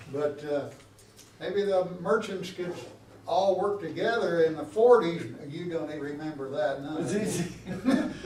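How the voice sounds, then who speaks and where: A man with an American accent speaks at a fairly slow pace with a high pitch, ordinary pitch variation and big swings in loudness. Noticeable background noise and audible room echo are in the recording. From US Midwest, Union City area. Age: 80s+. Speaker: local resident addressing council. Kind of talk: public comment at council meeting. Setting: city council meeting.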